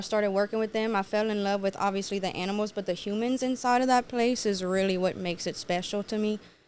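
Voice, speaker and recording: Words tumble out at a very fast pace with hardly any pauses. The speech carries a Cajun accent. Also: woman. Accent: Southern Louisiana Cajun. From Louisiana (Cajun, Cecilia near Lafayette). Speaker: food reviewer and content creator. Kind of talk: casual podcast interview. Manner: animated.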